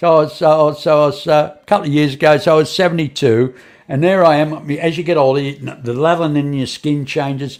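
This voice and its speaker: A man speaks at a very fast pace in an Australian accent. His pitch is fairly high and his intonation fairly even. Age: 70s. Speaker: podcast host. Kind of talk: casual interview chat. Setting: online stream studio. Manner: halting, many repetitions.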